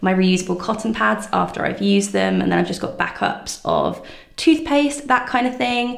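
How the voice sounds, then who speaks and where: A woman's voice with audible room echo over a quiet background. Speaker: lifestyle vlogger. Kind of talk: casual room tour chat. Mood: cheerful, upbeat. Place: bathroom. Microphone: phone near.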